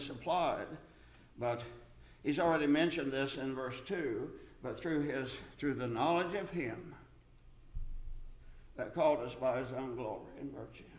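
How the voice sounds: Speaking at a fairly slow pace with long, frequent pauses, a man uses a medium pitch in a room with audible echo.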